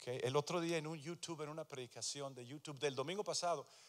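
A man with a fairly high pitch and ordinary pitch variation speaks against a quiet background. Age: 60s. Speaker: pastor. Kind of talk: sermon. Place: church. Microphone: handheld.

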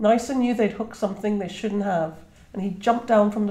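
The intonation is fairly even. What you hear is an unforced reading voice.

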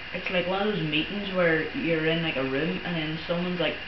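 Loud background noise sits under the recording. Over it, a man speaks at a moderate pace. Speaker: gamer. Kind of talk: casual gameplay commentary. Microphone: camera far.

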